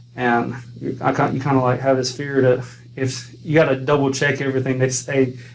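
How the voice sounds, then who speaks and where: A man with an American accent at medium pitch, fairly quick and monotone, flat in intonation, with audible room echo. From US South, North Carolina (Pembroke, Lumbee). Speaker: college biology instructor. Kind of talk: interview conversation. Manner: halting, many repetitions.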